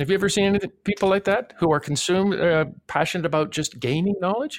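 Talking at a very fast pace, a man uses a high pitch with ordinary pitch variation and very even loudness, recorded very cleanly against a silent background. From Toronto, Canada. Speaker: preaching professor and pastor. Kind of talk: podcast discussion.

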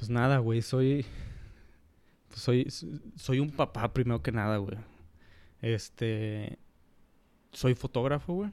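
A man speaks very slowly in a northern Mexican accent, his pitch medium with ordinary variation. Long pauses come often. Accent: northern Mexican Spanish (Monterrey). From Monterrey, Mexico. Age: 30s. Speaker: photographer. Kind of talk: casual chat. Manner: halting.

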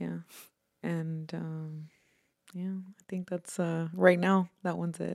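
A woman with an American accent, very slow and monotone, with long, frequent pauses. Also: fairly low pitch for a woman, dry, close sound with no echo. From Houston, Texas. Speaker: tattoo artist. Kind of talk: casual interview.

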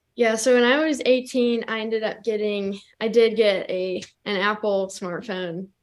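A woman with an ordinary speaking voice, a fairly high pitch and an American accent, at a moderate pace with fairly even intonation. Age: young. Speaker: student. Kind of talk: interview. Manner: laughs often.

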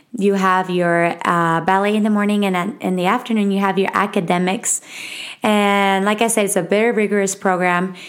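A woman speaks with a Mexican accent at medium pitch. Her intonation is monotone and flat. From Mexico City. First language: Spanish. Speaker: podcast host. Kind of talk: casual solo monologue. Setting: home recording. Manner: nervous, halting.

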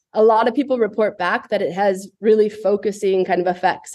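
An ordinary speaking voice from a woman with an American accent, medium pitch, fairly even intonation, fairly quick pace. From US West, Boulder, Colorado. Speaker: brand founder and entrepreneur. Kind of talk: casual interview.

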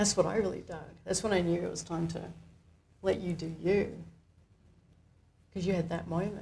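A woman's fairly low, dark and mellow voice with vocal fry, monotone, flat intonation, moderate pace, long, frequent pauses and audible room echo. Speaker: coach. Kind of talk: live coaching demonstration. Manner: warm, gentle.

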